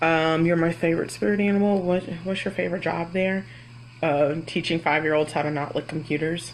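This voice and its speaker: A woman with an American accent talks at a fairly quick pace. Her pitch is fairly low and her intonation fairly even. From Florida. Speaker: kindergarten teacher. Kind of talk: live Q&A. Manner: loud; casual, hesitant with fillers.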